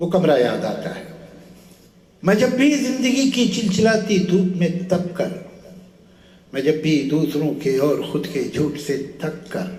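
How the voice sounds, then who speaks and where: A man with a high-pitched voice speaks in very wide pitch swings. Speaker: poet. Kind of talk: poetry reading. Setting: live stage recording.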